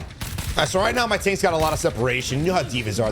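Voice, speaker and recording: A man with an American accent, with noticeable background noise and audible room echo. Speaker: gaming video creator. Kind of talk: gameplay commentary tutorial. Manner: casual, with fillers.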